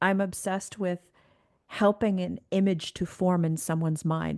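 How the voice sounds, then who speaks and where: A woman speaks in a Canadian accent. The background is quiet, and the sound is dry and close with no echo. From Canada. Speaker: executive coach. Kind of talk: interview conversation. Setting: remote call. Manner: animated.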